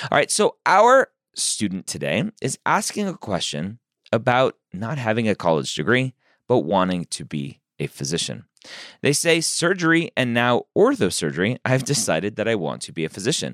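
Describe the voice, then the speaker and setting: A man with a medium pitch and vocal fry talks at a moderate pace, with very wide pitch swings. The recording is very clean, with a silent background and a dry, close sound with no echo. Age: 40s. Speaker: podcast host, physician. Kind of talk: advice podcast monologue.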